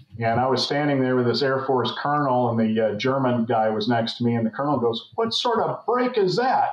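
Audible room echo surrounds a man with an American accent who hardly pauses at all. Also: ordinary pitch variation, fairly quick pace, very even loudness. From US West (San Francisco Bay Area). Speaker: former naval flight officer; podcast guest. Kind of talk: casual interview. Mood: relaxed, reminiscing. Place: home room. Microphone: webcam.

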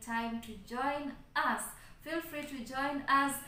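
Over light background noise and with audible room echo, a woman speaks with fairly even intonation. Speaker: channel host. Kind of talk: casual vlog chat. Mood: grateful and cheerful. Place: home room. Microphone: phone near.

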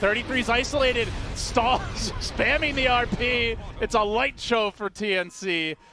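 With music in the background, a man speaks very slowly in a raised, projected voice that is extremely high in pitch, with ordinary pitch variation. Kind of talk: esports commentary. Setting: broadcast esports commentary over game footage. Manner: excitable, with laughs.

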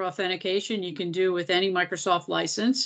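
Against a quiet background, a woman with an American accent talks at a fairly quick pace with fairly even intonation. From Philadelphia, US. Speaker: nonprofit technology executive; presenter. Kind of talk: webinar presentation. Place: kitchen. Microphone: video call.

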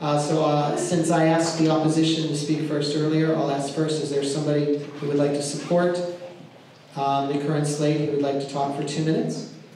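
With strong room echo and light background noise, a man speaks in a fairly high pitch and a monotone, flat intonation. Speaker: meeting chair. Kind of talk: formal public meeting moderation. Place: meeting room.

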